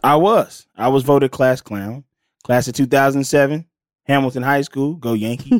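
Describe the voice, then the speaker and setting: A man with an unremarkable speaking voice talks in an American accent at a fairly slow pace, his pitch fairly high with ordinary variation. The recording is very clean with a silent background and a dry, close sound with no echo. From Los Angeles (west side), early years in Mississippi. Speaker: actor and comedian. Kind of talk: casual interview chat.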